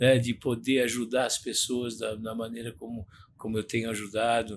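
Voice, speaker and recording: Speaking at a moderate pace, the man uses a monotone, flat intonation. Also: medium pitch for a man. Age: 60s. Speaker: retired mentor of young people. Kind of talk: podcast interview.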